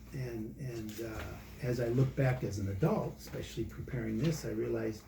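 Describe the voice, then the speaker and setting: Noticeable background noise and audible room echo around a male voice. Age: 60s. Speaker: church member giving faith testimony. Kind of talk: testimony. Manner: casual, conversational.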